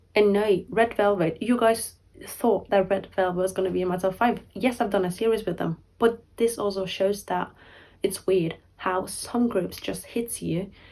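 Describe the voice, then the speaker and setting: A woman at medium pitch, fairly even in intonation and moderate in pace, on a very clean recording with a silent background. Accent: non-native. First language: not English. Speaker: K-pop YouTuber. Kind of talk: casual vlog talk to camera. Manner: rambling, filler-heavy; halting, self-correcting.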